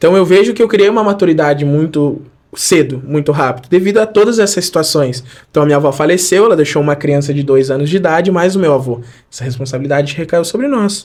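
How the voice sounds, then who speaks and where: At a very fast pace, a man speaks with fairly high pitch and ordinary pitch variation. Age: 20s. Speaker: church member giving testimony. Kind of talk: testimony.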